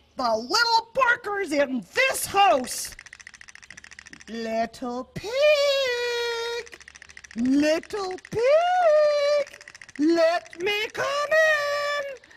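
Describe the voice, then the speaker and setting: At a very slow pace, a cartoonish character voice with a menacing tone speaks at an extremely high pitch. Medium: puppet. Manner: blustering, menacing.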